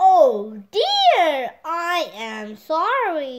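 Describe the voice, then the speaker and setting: In a put-on character voice, a woman talks at an extremely high pitch with very wide pitch swings. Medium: read story.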